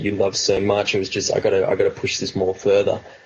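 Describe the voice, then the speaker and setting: A man with an Australian accent talks at a fairly quick pace. Noticeable background noise is present. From Australia, New South Wales. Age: 20s. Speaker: rapper. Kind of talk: interview. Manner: casual, filler-heavy.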